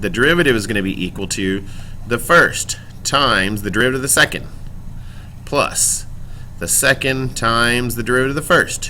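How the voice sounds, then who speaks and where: A man speaks at a fairly quick pace and a medium pitch, with ordinary pitch variation and long, frequent pauses. His tone is bright and sharp, and the room echo is audible. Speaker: high school math teacher. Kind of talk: recorded lecture. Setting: recorded classroom video. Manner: fast.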